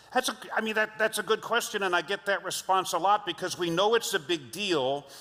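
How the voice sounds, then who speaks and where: A man's raised, projected voice in an American accent, high-pitched and bright and sharp in tone, at a moderate pace with ordinary pitch variation. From Los Angeles, US. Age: 60s. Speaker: leadership trainer and speaker. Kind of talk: keynote talk.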